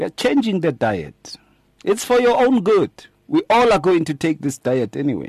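High-pitched with very wide pitch swings, a man's voice comes through dry and close with no echo. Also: moderate pace. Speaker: pastor and radio host. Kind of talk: radio talk show discussion.

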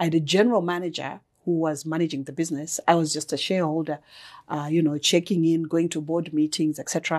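Speaking at a very fast pace, a woman with a fairly low pitch keeps a monotone, flat intonation over a quiet background. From Zimbabwe, Mutare. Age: 40s. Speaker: business executive and consultant. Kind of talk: interview. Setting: studio, in person.

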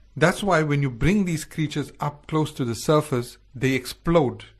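A man's somewhat breathy, fairly high voice at a moderate pace, with ordinary pitch variation and a quiet background. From South Africa. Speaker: radio host. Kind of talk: casual chat. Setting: studio.

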